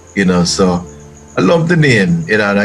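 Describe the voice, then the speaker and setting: A man talks at a fairly low pitch with ordinary pitch variation. Music plays in the background. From Jamaica (Hermitage, Kingston). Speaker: honored community figure. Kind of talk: interview.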